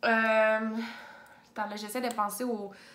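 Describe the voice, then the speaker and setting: A woman with a Quebec accent, very slow and monotone with flat intonation, amid audible room echo. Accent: Québécois French. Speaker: booktuber; book vlogger. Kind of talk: casual chat. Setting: home office. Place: home room. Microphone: phone near.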